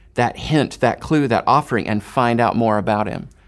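An unremarkable speaking voice, a man's, medium in pitch, with ordinary pitch variation and an American accent. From Houston, Texas. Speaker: missionary. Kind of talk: interview.

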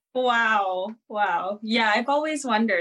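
With an ordinary speaking voice, a woman talks at a fairly slow pace and ordinary pitch variation. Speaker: podcast host. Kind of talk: interview on a talk show.

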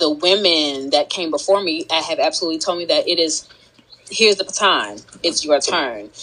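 In a plain, everyday voice, a woman with a fairly low pitch speaks with lively intonation. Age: 30s. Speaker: entrepreneur and gardener. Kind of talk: casual chat.

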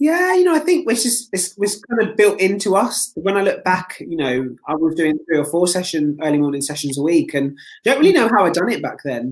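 Speaking at a fairly quick pace with hardly any pauses, a man uses a high pitch and very wide pitch swings. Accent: British. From UK. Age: 20s. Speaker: competitive swimmer. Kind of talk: casual interview chat. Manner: upbeat.

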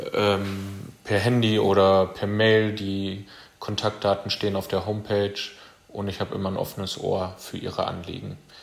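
Monotone, flat intonation from a man with fairly low pitch, at a moderate pace, with noticeable background noise. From Germany, Kreis Steinfurt (Münsterland). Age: 20s. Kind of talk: self-introduction monologue.

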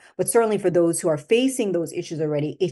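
This woman has a fairly low pitch and a dark, mellow tone, her intonation lively against a quiet background. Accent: slight Jamaican. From Jamaica. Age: 50s. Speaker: skincare company founder. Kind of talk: interview.

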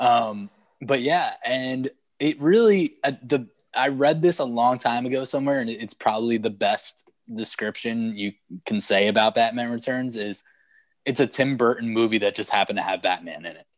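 A man speaks at a medium pitch with ordinary pitch variation and big swings in loudness, in a normal speaking voice. The sound is dry and close with no echo, over a quiet background. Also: moderate pace. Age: 30s. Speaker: podcast co-host. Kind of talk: casual chat.

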